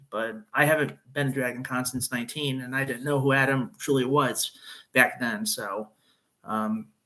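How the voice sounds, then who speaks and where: In a Chicago accent, a man speaks at medium pitch and a moderate pace, his tone bright and sharp with ordinary pitch variation. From northern Illinois (Chicago suburbs, Wheaton). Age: 30s. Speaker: YouTuber. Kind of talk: casual live-stream chat. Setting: live stream. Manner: halting, many fillers.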